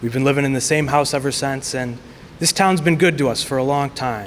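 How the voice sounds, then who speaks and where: A man with an American accent talks at a very fast pace. His pitch variation is ordinary. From US Midwest, Chicago suburbs. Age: 20s. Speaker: political candidate. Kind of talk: candidate speech at forum.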